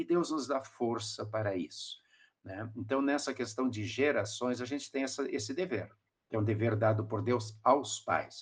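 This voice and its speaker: A man's voice comes across somewhat breathy. His pace is moderate. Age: 60s. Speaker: pastor. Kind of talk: podcast discussion. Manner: halting.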